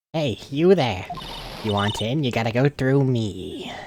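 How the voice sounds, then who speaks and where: A man performs a put-on character voice at a medium pitch. He goes at a fairly slow pace with lively intonation. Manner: gruff, blocking, confrontational.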